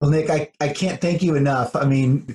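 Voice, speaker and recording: Somewhat breathy, this man's voice sits fairly high in pitch. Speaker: podcast host and leadership strategist. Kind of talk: interview. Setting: video call.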